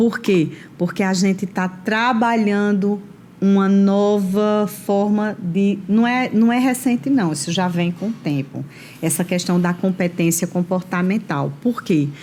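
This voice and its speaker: At a very slow pace, a woman speaks in a dark, mellow tone that is somewhat breathy. Her medium pitch shows ordinary variation. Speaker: HR professional and entrepreneur. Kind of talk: interview. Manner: slow, measured.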